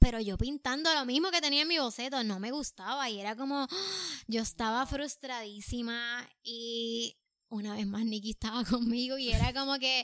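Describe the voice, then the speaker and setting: A woman's high voice in a Puerto Rican accent, with ordinary pitch variation and a moderate pace. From Puerto Rico. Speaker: artist, painter. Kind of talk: casual chat. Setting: studio.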